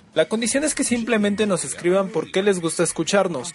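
With lively intonation, a man keeps a moderate pace as noticeable background noise continues behind him. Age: 20s. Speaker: radio host. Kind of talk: radio show presenting.

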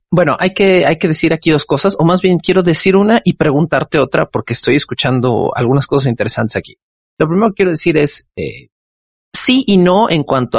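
Vocal fry marks this man's voice, and his intonation is lively. He talks at a moderate pace in a dry, close recording with no echo. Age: 30s. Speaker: podcast host. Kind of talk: casual chat.

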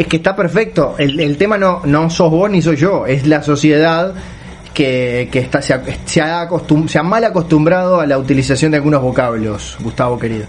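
Against noticeable background noise, a man talks with very even loudness and ordinary pitch variation. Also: fairly high pitch for a man, moderate pace. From Uruguay. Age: 40s. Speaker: writer and podcast co-host. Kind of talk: casual chat. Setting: WhatsApp call from home. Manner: pauses to catch breath.

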